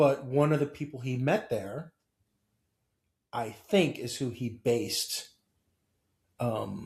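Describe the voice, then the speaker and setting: Very slow and somewhat breathy, a man with an American accent speaks at medium pitch with ordinary pitch variation and long, frequent pauses. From Ohio, Cleveland area. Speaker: horror fiction scholar. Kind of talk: casual interview conversation. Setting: in-person sit-down.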